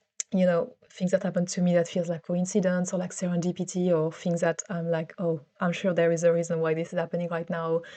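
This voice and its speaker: Speaking with a French accent, a woman uses a dark, mellow tone and monotone, flat intonation at a fairly quick pace with hardly any pauses. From France. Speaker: vlogger. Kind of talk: personal vlog monologue. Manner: hesitant, many fillers and repeats.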